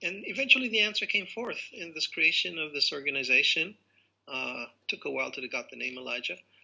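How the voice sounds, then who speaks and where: Talking at a fairly quick pace with an American accent, a man shows big swings in loudness. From Israel. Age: 60s. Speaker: rabbi and theologian. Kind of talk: interview. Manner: playful. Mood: calm, reflective. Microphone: video call.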